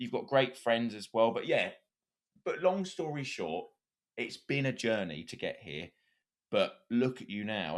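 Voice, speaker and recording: A man with an English accent, medium pitch, very wide pitch swings and a moderate pace. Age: 20s. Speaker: podcast host. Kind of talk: casual chat.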